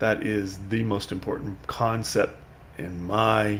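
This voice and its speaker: A man speaks at a very slow pace with a fairly low pitch. His voice is somewhat breathy. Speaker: Zen dharma teacher. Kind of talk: dharma talk. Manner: halting, many fillers.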